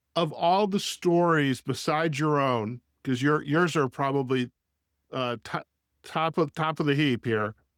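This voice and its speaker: An unremarkable speaking voice at a fairly slow pace, with ordinary pitch variation and very even loudness, dry and close with no echo on a very clean recording with a silent background. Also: man, fairly high pitch for a man. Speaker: podcast host. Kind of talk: interview question.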